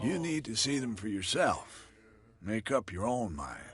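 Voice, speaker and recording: In a put-on character voice, a raspy man with a medium pitch speaks at a moderate pace with very wide pitch swings. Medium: video game. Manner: gruff, cagey.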